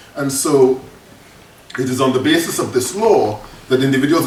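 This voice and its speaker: There is audible room echo and noticeable background noise as a man talks at a medium pitch with ordinary pitch variation. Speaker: professor. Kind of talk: lecture. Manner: fast.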